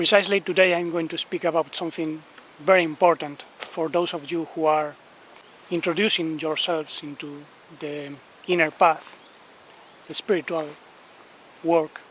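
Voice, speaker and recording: A man with a Spanish accent speaks in a flat monotone at a fairly high pitch, his loudness swinging widely, with long, frequent pauses and noticeable background noise. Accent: non-native English, noticeable Spanish. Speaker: spiritual teacher. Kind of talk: spiritual talk. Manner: careful, deliberate pronunciation.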